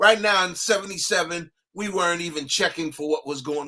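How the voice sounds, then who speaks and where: Speaking at a moderate pace with a New York accent, a man uses a high pitch and ordinary pitch variation. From New York, Brooklyn. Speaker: music producer and DJ. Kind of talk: interview. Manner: animated.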